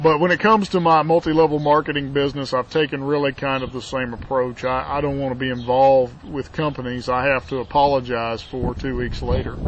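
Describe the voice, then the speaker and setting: There is noticeable background noise as a man speaks fairly quickly with hardly any pauses, using a medium pitch and ordinary pitch variation. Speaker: network marketing entrepreneur. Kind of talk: casual vlog monologue. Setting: outdoors in backyard.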